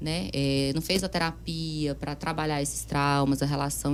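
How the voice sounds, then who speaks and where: A woman speaks with a very deep, low pitch. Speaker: psychiatrist. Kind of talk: interview. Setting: studio. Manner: fast.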